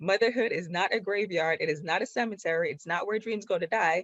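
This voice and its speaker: At a moderate pace, a woman with a Jamaican accent speaks in an animated tone, her medium pitch showing ordinary variation. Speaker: productivity coach. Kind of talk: online workshop presentation.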